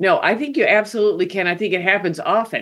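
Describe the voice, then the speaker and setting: At a fairly quick pace, a woman speaks with ordinary variation in pitch. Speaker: professor. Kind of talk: interview conversation. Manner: fast talker.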